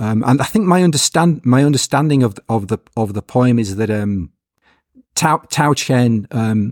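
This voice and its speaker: Recorded very cleanly with a silent background and a dry, close sound with no echo, a man speaks at a fairly slow pace with ordinary pitch variation. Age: 50s. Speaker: poet. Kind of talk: interview. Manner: halting.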